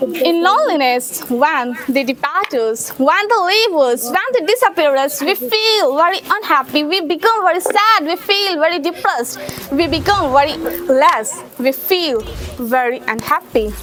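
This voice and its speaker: A woman's high voice with very wide pitch swings, fairly slow pace, hardly any pauses, and very even loudness, over noticeable background noise. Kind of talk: motivational stage speech.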